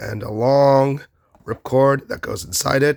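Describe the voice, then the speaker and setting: At a very slow pace, a man talks with a medium pitch. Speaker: toy reviewer. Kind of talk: product review. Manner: halting.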